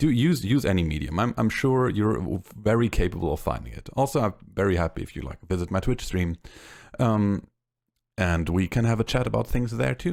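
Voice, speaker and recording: On a very clean recording with a silent background, a man with a fairly low voice and vocal fry talks at a fairly quick pace with very wide pitch swings. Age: 20s. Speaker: podcast host and psychologist. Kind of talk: casual chat. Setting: live stream. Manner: halting.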